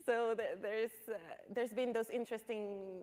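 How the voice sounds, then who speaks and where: With a Dominican accent, a woman talks at a moderate pace with ordinary pitch variation. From Dominican Republic (Santo Domingo). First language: Spanish. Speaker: panelist. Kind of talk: panel discussion.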